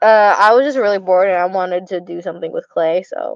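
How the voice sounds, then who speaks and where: A woman with an Arizona accent, in a dry, close sound with no echo and a quiet background. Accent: Arizona accent, slurred words. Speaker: streamer. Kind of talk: casual livestream chat. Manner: slurred words. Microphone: connection cutting out.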